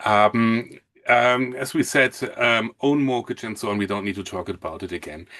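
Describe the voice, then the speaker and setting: With a strong German accent, a man speaks at a fairly slow pace. The background is quiet. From Germany, Hamburg. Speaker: mortgage consultant. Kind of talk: webinar presentation. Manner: halting.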